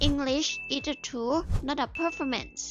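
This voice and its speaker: With music in the background, a woman with a Thai accent speaks very slowly at a high pitch. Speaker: English learning content creator. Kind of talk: casual talk to camera, language-learning advice.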